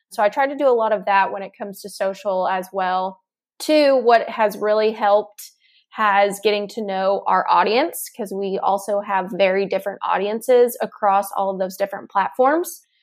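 A woman speaks at medium pitch and a moderate pace with ordinary pitch variation, in an unremarkable speaking voice. The recording is very clean, with a silent background. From Texas. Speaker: marketing director. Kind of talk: casual Q&A conversation.

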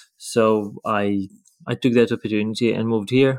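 The intonation is fairly even, with a Ukrainian accent. The recording is very clean, with a silent background. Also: man. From Ukraine, Lviv. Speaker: professional ballroom dancer. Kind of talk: casual interview. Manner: halting.

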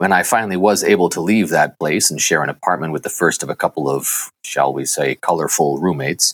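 Talking at a fairly quick pace with an American accent, a man uses a very deep, low pitch with vocal fry and ordinary pitch variation, the sound dry and close with no echo. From Massachusetts, US. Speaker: actor. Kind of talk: interview.

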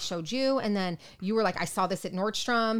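A woman speaks very fast at a medium pitch, with ordinary pitch variation. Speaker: nurse podcast co-host. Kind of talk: casual chat. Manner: loud.

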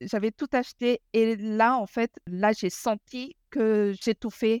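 At a very slow pace, a woman speaks with a fairly high pitch and fairly even intonation. The recording is very clean, with a silent background. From Madagascar. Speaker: author and minimalism coach. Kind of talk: casual interview.

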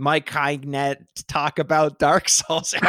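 Putting on a character voice, a man speaks slowly-ish in a raspy, fairly high tone with monotone, flat intonation.

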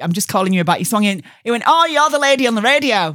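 With a slight Yorkshire accent, the speaker's pitch swings very widely. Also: woman. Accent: Yorkshire accent, mild. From Yorkshire, Barnsley. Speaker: radio DJ. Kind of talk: casual interview chat.

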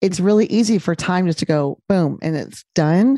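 A woman's plain, everyday voice at medium pitch, moderate pace and ordinary pitch variation, dry and close with no echo. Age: 50s. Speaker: gynecologist and podcaster. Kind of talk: interview conversation.

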